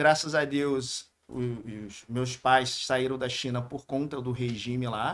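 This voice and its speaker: A man with a strong Rio de Janeiro accent, medium pitch and monotone, flat intonation, on a very clean recording with a silent background. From Brazil, Rio de Janeiro. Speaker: businessman. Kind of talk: podcast interview.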